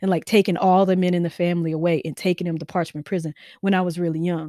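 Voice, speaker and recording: A woman's fairly low voice in a Mississippi accent, in a very clean recording with a silent background and a dry, close sound with no echo. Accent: Southern US (Mississippi). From Mississippi, US South. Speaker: novelist and creative writing professor. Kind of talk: interview conversation.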